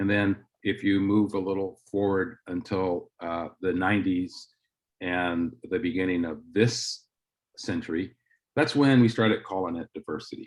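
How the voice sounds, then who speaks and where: A man's fairly low voice at a moderate pace, with ordinary pitch variation and a quiet background. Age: 60s. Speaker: diversity dean giving a talk. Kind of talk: presentation. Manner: halting with many fillers.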